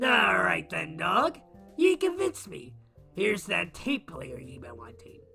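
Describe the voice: A raspy, put-on character voice speaks at a moderate pace. Faint music plays in the background.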